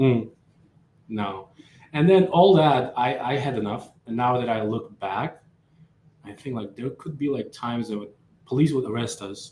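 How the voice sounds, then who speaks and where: A man speaks at a medium pitch and a moderate pace, his tone dark, mellow and somewhat breathy. Pitch variation is ordinary, loudness swings widely, and pauses are long and frequent. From Uzbekistan. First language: Uzbek or Russian. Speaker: coffee company founder. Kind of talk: casual chat. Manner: halting.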